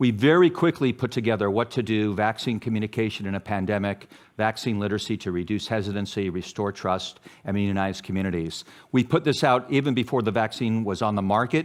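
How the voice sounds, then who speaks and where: This talker goes at a very fast pace. The pitch moves in an ordinary way. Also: man, fairly low pitch for a man. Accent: American. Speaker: public health academic, journal editor. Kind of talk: conference talk.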